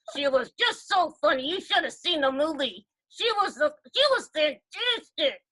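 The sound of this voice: A woman uses a put-on character voice at an extremely high pitch. Her pitch swings very widely as she speaks at a moderate pace.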